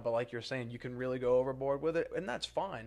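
The speaker talks in a New Orleans accent against a quiet background. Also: man. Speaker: real estate podcast co-host. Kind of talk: casual chat. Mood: relaxed, conversational. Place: meeting room. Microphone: studio mic.

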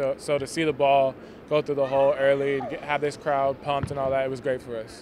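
The speech comes at a very fast pace in a monotone, flat intonation. The sound is dry with no echo, with light background noise. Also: man. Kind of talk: interview answer. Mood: pleased after a win. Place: stadium. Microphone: handheld.

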